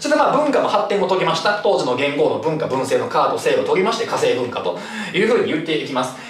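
A man talks at a very fast pace. Light background noise and audible room echo come through. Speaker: cram school history teacher. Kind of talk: lecture. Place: classroom.

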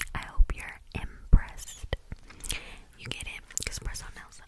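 The speaker, a woman, is talking in a whisper. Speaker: ASMR creator. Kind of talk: whisper ramble ASMR chat. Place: home room. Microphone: studio mic.

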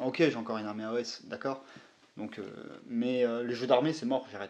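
This man has an unremarkable speaking voice, medium in pitch, and talks at a fairly quick pace. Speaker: YouTuber, miniature wargaming hobbyist. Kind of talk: casual chat.

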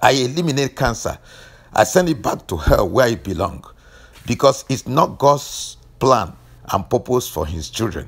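With vocal fry and very wide pitch swings, a man speaks at a medium pitch and a moderate pace, leaving long, frequent pauses. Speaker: deliverance preacher and health teacher. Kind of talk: fervent deliverance prayer, commanding and declarative. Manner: intense, incantatory rhythm with repeated 'let the fire'.

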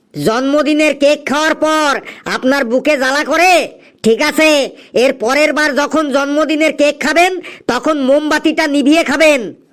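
This is a cartoonish character voice pitched high. It moves at a moderate pace. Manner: brisk, impatient.

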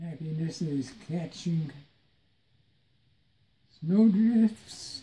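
A man talks at a very slow pace in a dark, mellow tone. His pitch variation is ordinary. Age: 80s+. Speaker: retired father with Alzheimer's. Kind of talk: reading aloud from a book to family. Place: home room. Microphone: phone near.

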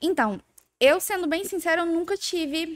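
A woman talks at a moderate speed on a very clean recording with a silent background. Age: 20s. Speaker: eyelash extension entrepreneur. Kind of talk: casual interview chat.

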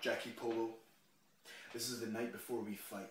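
Audible room echo surrounds a man with a Scottish accent who speaks in an intense, menacing tone. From Scotland. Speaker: professional wrestler. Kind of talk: wrestling promo: taunting monologue addressed straight to his opponent. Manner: intense, building, trash-talking swagger; punchy, declarative, menacing closing lines. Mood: intense, confrontational. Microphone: phone near.

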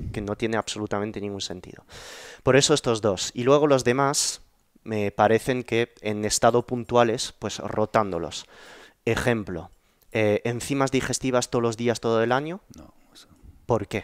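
In a quiet, dry setting with no echo, a man of medium pitch talks at a moderate pace, his loudness swinging widely and his pitch varying an ordinary amount. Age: 30s. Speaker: YouTube podcast host; podcast host. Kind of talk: interview conversation. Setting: in person at home. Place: home room. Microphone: headset.

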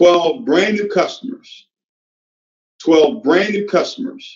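Against a quiet background with audible room echo, a man talks in an animated tone at a high pitch. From Nigeria. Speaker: network marketing leader; sales team motivator. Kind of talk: motivational talk. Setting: stage with audience. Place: home room. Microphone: video call.

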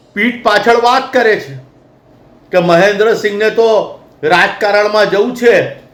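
Audible room echo surrounds a man whose high pitch holds a fairly even intonation. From Vadodara, Gujarat, India. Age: 50s. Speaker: activist spokesperson. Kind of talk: public statement to media. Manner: impassioned.

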